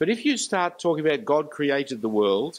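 A man with an Australian accent speaks at a fairly quick pace in a fairly high voice for a man. His pitch swings very widely. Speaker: preacher. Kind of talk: lecture. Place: church. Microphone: handheld.

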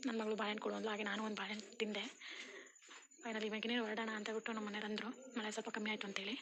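A soft-spoken voice, monotone and flat, very even in loudness, over noticeable background noise. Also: woman, fairly high pitch for a woman. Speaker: family vlogger. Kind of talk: vlog narration.

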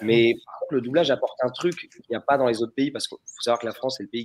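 A man speaks at a medium pitch with ordinary pitch variation. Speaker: voice actor. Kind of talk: casual chat. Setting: video call. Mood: enthusiastic, anecdotal. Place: home room.

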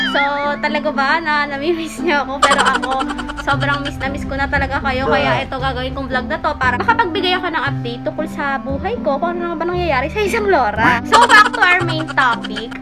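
Loud music plays in the background while a woman speaks at a fairly quick pace. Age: 20s. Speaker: vlogger and student business owner; vlogger. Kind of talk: casual vlog talk.

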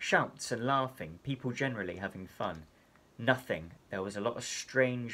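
With ordinary pitch variation, the clip is read in a natural reading voice.

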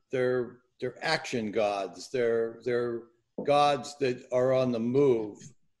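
A man is speaking over a quiet background. His intonation is fairly even. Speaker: seminar host. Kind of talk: casual hosting. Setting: video call. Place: home room. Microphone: video call.

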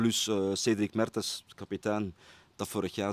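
The speaker talks in a Brabant Flemish accent with monotone, flat intonation. The sound is dry, with no echo. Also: man. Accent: Flemish (Brabant) Dutch. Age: 40s. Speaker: football coach. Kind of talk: interview. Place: stadium. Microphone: handheld.

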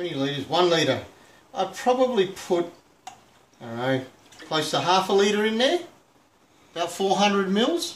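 A man with an Australian accent speaks at a fairly slow pace in a high pitch, his lively intonation broken by long, frequent pauses, with audible room echo and light background noise. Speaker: home cooking video host. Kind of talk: cooking tutorial. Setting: home kitchen. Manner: casual, hesitant with fillers.

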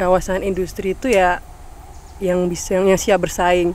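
Light background noise, with a dry sound and no echo. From Java. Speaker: CSR community development staff. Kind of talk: casual outdoor podcast interview. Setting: outdoors at demonstration farm. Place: garden. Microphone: handheld.

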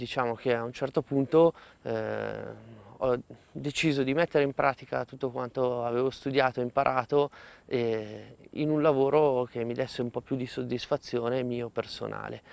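A man speaks at medium pitch and a moderate pace. The sound is dry, with no echo. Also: fairly even intonation. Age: 30s. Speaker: beekeeper. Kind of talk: interview. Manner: halting, with frequent hesitations. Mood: calm, friendly. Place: farm. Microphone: lapel.

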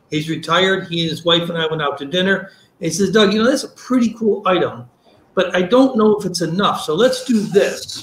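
A high-pitched man at a fairly quick pace, with audible room echo. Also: ordinary pitch variation. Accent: American. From upstate New York. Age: old. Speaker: product seller, former beverage salesman. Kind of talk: product demonstration. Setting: video call. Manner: fast talker; excitable. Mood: friendly, passionate. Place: home room.

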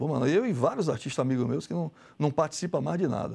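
The speaker has lively intonation and vocal fry, talking at a moderate pace. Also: man. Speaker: visual artist; guest. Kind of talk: TV interview. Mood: frank, somewhat aggrieved.

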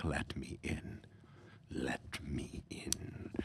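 The speaker is whispering. It is a put-on character voice. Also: man. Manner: creepy, pleading, repeated.

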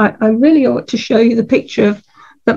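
A woman's somewhat breathy voice carries ordinary pitch variation. Behind her, the background is quiet. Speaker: botanical artist. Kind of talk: art demonstration. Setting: video call. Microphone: video call.

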